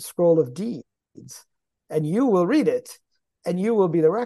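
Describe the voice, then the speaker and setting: Speaking fairly quickly, a man has an American accent. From US Midwest, Michigan. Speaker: tech entrepreneur and author. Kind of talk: interview conversation.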